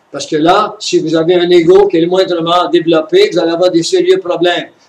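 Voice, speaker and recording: His intonation fairly even, a man with a high pitch talks at a moderate pace. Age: 70s. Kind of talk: religious conference talk.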